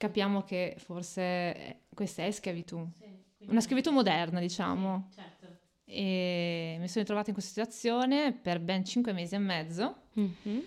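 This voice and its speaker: In a normal speaking voice, a woman talks at a moderate pace and medium pitch, her pitch varying in an ordinary way while her loudness swings a lot. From Italy, Reggio Emilia. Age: 30s. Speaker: podcast guest, migrant woman. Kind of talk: casual interview.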